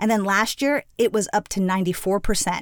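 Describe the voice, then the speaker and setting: A woman with an American accent talks at a fairly quick pace in an ordinary speaking voice with ordinary pitch variation, captured in a very clean recording with a silent background. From Miami, Florida (Cuban American). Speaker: education nonprofit executive. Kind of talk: interview conversation.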